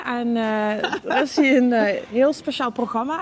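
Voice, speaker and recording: A woman's voice, fairly high in pitch with lively intonation, comes through noticeable background noise. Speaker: video presenter. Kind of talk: casual talk to camera.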